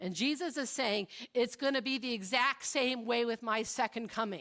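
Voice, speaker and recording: Vocal fry marks this woman's fairly high-pitched voice at a fairly slow pace. The recording is very clean with a silent background. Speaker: pastor. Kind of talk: sermon.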